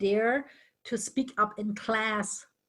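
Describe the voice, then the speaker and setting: A woman with a German accent speaks at a very slow pace in a fairly high, somewhat breathy voice with fairly even intonation. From northern Germany. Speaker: interview guest. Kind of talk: casual chat.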